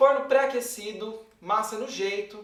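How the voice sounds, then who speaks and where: A man's voice is heard with audible room echo. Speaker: baker. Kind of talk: tutorial. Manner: fast.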